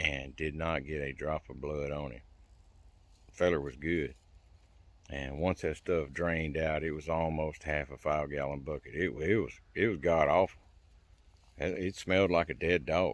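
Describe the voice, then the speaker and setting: With a very deep, low pitch and vocal fry, a man talks at a moderate pace with fairly even intonation and long, frequent pauses. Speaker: survival and self-help channel host. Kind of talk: casual personal testimony to camera. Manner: halting, hesitates and stammers for words.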